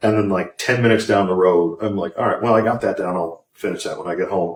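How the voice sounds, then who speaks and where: A fairly quick pace with a Midwestern American accent. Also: man. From northwest Indiana. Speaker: singer-songwriter. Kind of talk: interview. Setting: pub. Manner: casual, with many fillers.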